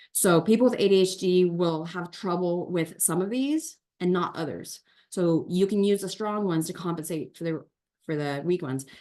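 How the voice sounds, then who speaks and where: The speaker is a woman with a fairly low pitch. Her tone is dark and mellow. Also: ordinary pitch variation. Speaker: tutor and teacher for homeschoolers. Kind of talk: online workshop presentation. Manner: fast.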